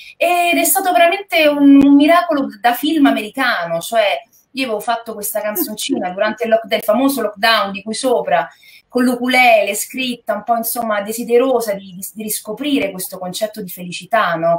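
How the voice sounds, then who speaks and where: A woman talks at a fairly quick pace with lively intonation and big swings in loudness against a quiet background. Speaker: guest actress. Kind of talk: interview answer. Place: home room.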